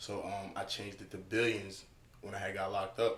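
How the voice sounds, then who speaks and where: Audible room echo surrounds a man with an American accent who speaks at a moderate pace with a fairly low pitch and monotone, flat intonation. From US South (Atlanta), born Long Island. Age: 20s. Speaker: rapper. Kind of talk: casual interview.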